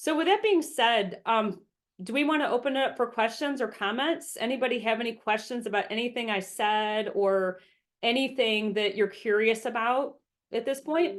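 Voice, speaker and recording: Her pitch sits fairly high. This woman's pitch moves in an ordinary way. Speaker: business coach and speaker. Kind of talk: webinar presentation. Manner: fast.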